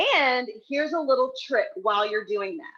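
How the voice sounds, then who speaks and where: A woman speaks at a high pitch in an animated tone, with very wide pitch swings. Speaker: cooking class instructor. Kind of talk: live cooking tutorial. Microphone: phone recording, headphones audio may drop.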